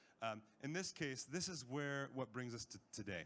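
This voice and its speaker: With a plain, everyday voice, a man speaks at a moderate pace with ordinary pitch variation. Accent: American. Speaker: panel chair at a health tech conference. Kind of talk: conference presentation.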